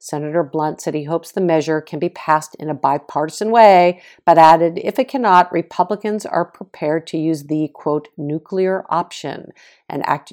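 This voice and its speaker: With an American accent, a woman speaks at a moderate pace in a very deep, low pitch, with ordinary pitch variation and a dry, close sound with no echo. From Boston, US. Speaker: podcast host and author. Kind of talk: scripted news recap, political commentary.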